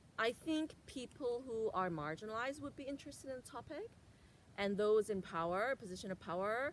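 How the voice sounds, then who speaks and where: The speaker goes at a fairly quick pace with lively intonation. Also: woman, fairly high pitch for a woman. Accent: Korean. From Korea. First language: Korean. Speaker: educator. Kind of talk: interview.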